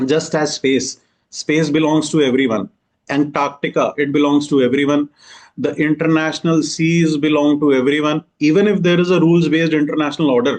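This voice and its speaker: A man with an Indian accent talks at a fairly quick pace, his pitch fairly high. His loudness stays very even and his intonation fairly even. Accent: Indian English, Hindi-speaking. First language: Hindi. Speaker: exam coaching teacher. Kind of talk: lecture. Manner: code-switching Hindi and English.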